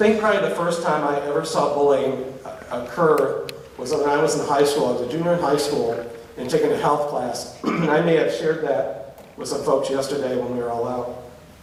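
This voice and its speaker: A man speaks somewhat quickly while clear background noise carries on behind him. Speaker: public speaker. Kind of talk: live lecture to college audience. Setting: live audience. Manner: humorous, storytelling.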